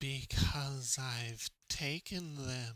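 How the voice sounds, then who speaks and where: A man speaks at a medium pitch in a put-on character voice. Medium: actual play. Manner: slow, deliberate, simple.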